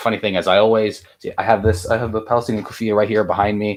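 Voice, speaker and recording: This man has a fairly low pitch and speaks with an American accent. The recording is very clean, and the background is silent. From US, California. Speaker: online Islamic preacher and streamer. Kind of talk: casual interview.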